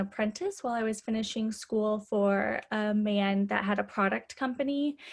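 A woman talks in a normal speaking voice with a fairly high pitch. Her pitch variation is ordinary. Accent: American. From US Midwest. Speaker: hairstylist and salon owner. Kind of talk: casual chat.

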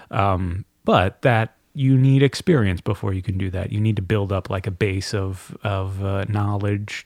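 A man with a fairly low pitch and an unremarkable speaking voice talks at a moderate pace, with hardly any pauses. The recording is very clean and the background silent. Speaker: voice actor and audiobook narrator. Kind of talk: casual chat.

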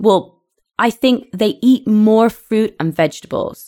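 In a British accent, a woman speaks at a fairly slow pace with ordinary pitch variation. The recording is very clean and the background silent. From UK. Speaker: podcast co-host, English teacher. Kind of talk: casual chat.

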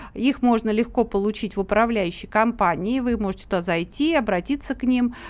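Here a woman speaks in a plain, everyday voice at a fairly high pitch and a fairly quick pace. Her pitch varies in an ordinary way, with hardly any pauses. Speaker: activist and public chamber member. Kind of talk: radio interview answering questions. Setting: radio studio, live.

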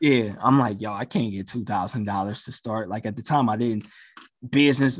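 A man with a medium-pitched, normal speaking voice talks at a fairly quick pace with ordinary pitch variation, recorded very cleanly against a silent background. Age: 30s. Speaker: DJ and investor. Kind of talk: casual chat.

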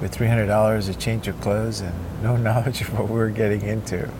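A man speaks at a fairly low pitch with monotone, flat intonation. Audible room echo and noticeable background noise fill the recording. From Cuba. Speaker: neuropsychologist and surfer. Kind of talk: interview. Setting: outdoors by the ocean.

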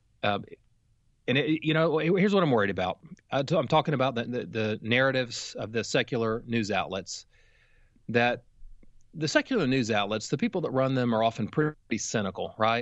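A man with a normal speaking voice, medium in pitch, at a fairly quick pace with lively intonation. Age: 40s. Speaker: theology professor. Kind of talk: interview.

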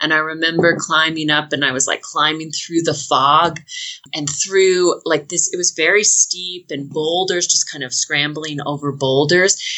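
A woman with an American accent talks at a very deep, low pitch and a moderate pace. Her intonation is fairly even, and there is noticeable background noise. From Washington state, US Pacific Northwest. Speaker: long-distance hiker. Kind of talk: casual interview.

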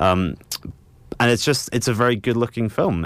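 This man talks at a fairly quick pace, with ordinary pitch variation. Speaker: film reviewer. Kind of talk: radio panel discussion. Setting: radio studio.

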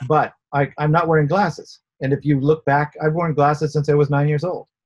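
Somewhat breathy and fairly high in pitch, a man speaks at a fairly quick pace in a monotone, flat intonation. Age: 60s. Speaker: inventor. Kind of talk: interview.

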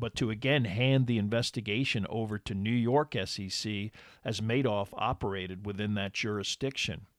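In a very clean recording with a silent background, a man talks in a normal speaking voice at medium pitch, with ordinary pitch variation and a moderate pace. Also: dry, close sound with no echo. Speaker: podcast host and narrator. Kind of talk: true-crime narration, scripted and read steadily in a documentary style. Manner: measured, even-paced and formal, serious tone; clear and authoritative, like a lecture.

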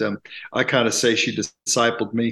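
With a bright, sharp tone, a man talks at a moderate pace and medium pitch, his pitch moving little.

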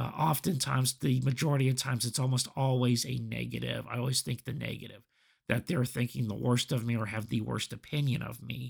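A man speaks in a somewhat breathy voice with fairly even intonation. The recording is very clean with a silent background. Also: medium pitch for a man, fairly quick pace. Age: 40s. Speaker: podcast host. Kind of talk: solo reflective monologue. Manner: halting, many fillers.

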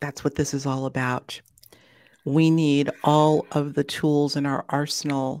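A woman speaks at a fairly slow pace in a very deep, low voice with a monotone, flat delivery. The recording is very clean, with a silent background. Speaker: podcast host. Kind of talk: interview conversation.

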